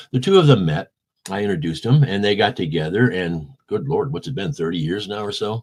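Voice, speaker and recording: With a Midwestern American accent, a man speaks fairly quickly at a fairly low pitch, his intonation lively. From US Midwest, St. Louis, Missouri. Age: 70s. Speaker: rock bass player. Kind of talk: interview. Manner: animated.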